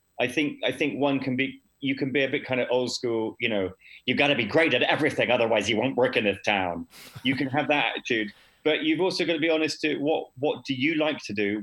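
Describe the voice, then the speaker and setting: At a fairly quick pace, a man with a medium pitch talks in an ordinary speaking voice with ordinary pitch variation. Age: 40s. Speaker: actor and improviser. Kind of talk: interview.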